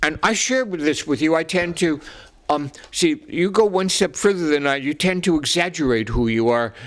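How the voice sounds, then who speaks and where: This man has a New York accent. He talks at a moderate pace. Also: fairly high pitch for a man. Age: 80s+. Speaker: psychologist. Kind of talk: casual chat. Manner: halting.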